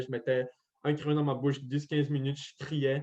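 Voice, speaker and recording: With a Quebec accent, a man talks at a fairly high pitch in a monotone, flat intonation. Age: 20s. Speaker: deaf medical student. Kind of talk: interview testimony. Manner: articulation affected by hearing loss; volume hard to balance.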